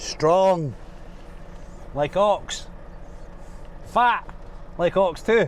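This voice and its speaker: Here a man speaks in a strong Scottish accent. His pitch is high, with ordinary variation. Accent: Scottish, thick. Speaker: truck driver. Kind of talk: vlog commentary while driving. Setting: in a truck. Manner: casual, chatty.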